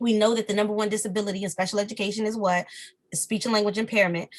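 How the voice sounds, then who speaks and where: A woman's somewhat breathy voice with fairly high pitch. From Washington DC. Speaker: speech-language pathologist and professor. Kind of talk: interview. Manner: pitch lowers when serious.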